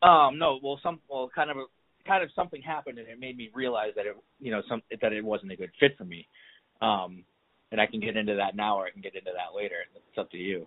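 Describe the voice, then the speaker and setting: With an American accent and lively intonation, a man talks at a very fast pace. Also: medium pitch for a man. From Boston area, Massachusetts. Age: 30s. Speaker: person in recovery, hospital worker. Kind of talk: casual interview chat. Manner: halting, many fillers.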